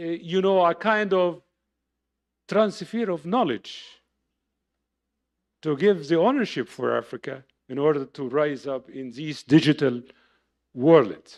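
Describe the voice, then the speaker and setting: A man with an Arabic accent speaks at a fairly slow pace in a fairly high voice with lively intonation. His loudness swings widely, long pauses come often, and the background is quiet. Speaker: professor. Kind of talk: lecture.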